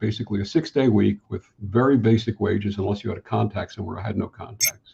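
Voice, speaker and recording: Somewhat breathy, a man with an American accent talks at a moderate pace. His pitch is medium, with ordinary variation. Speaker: spiritual counselor. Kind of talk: interview answer.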